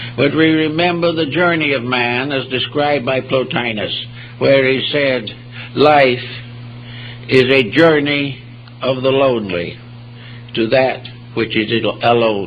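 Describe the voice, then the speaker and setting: At a fairly slow pace with long, frequent pauses, the speaker's pitch varies in an ordinary way over noticeable background noise. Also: man, medium pitch for a man. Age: 80s+. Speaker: philosophy lecturer. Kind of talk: public lecture.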